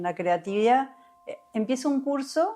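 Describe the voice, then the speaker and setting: At a moderate pace, a woman speaks with a Uruguayan accent. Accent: Rioplatense Spanish (Uruguayan). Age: 60s. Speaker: somatic experiencing therapist. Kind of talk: interview conversation. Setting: podcast recording.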